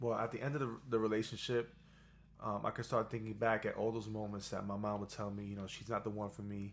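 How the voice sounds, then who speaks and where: A man speaks very fast at a fairly low pitch. His intonation is monotone and flat. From New York. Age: 30s. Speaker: guest, singer and student. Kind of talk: casual interview chat.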